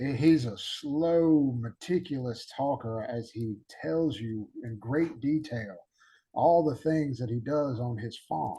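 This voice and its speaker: In a Southern US accent, a man speaks at a very slow pace with lively intonation and a dark, mellow tone. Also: medium pitch for a man. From Alabama, US South. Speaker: podcast host. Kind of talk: casual interview chat. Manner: halting, many fillers.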